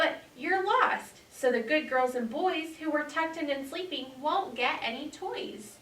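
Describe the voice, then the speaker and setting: A woman's put-on character voice, high-pitched and squeaky, with lively intonation at a moderate pace. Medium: read story.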